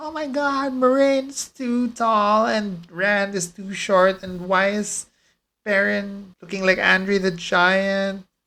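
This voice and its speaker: A whiny, put-on character voice speaks at a fairly slow pace with a whiny tone. The recording is very clean, with a silent background. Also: man, high pitch for a man. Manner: whiny, complaining.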